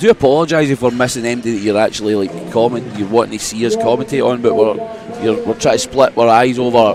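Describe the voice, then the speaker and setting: The speaker has a strong Glaswegian accent. Music plays in the background. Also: man. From Scotland, Glasgow. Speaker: sports commentator. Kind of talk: live commentary. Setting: livestream commentary desk.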